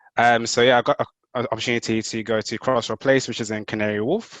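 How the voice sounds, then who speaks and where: Against a quiet background, a man talks at a very fast pace in a monotone, flat delivery. The sound is dry and close, with no echo. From Zimbabwe, then UK from age about 11. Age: 20s. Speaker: structural engineer. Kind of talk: webinar presentation. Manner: casual, hesitant with many fillers. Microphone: unstable home internet connection.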